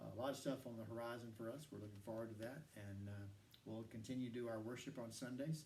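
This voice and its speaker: A man rattles along at a very fast pace, and audible room echo hangs around his words. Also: medium pitch for a man, fairly even intonation. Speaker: church staff podcast host. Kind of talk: casual chat. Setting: studio.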